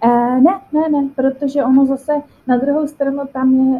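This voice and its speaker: Fairly even in intonation, a woman speaks at a moderate pace. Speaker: volunteer. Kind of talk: interview. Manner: hesitant, many fillers.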